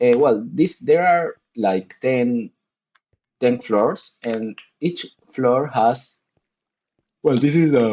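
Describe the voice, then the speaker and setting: Speaking at a very slow pace with long, frequent pauses, the voice carries a Spanish accent and ordinary pitch variation. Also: man, medium pitch for a man. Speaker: gaming streamer. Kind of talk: casual live-stream chat. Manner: halting, many restarts.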